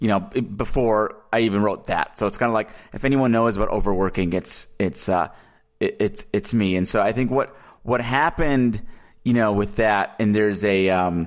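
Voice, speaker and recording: A normal speaking voice in an American accent moves at a moderate pace with ordinary pitch variation and very even loudness, on a very clean recording with a silent background. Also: man, fairly low pitch for a man. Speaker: author and ghostwriter. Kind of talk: casual podcast interview. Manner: warm, personable.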